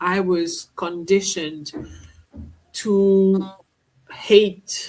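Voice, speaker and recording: A woman speaks at a very slow pace in a medium-pitched voice, her intonation flat and monotone. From Mauritius. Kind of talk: interview answer.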